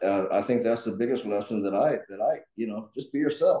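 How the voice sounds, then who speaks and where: A man's medium-pitched voice with an American accent, a dark, mellow tone and a moderate pace. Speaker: political candidate. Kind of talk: panel talk. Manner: halting, many fillers and repetitions.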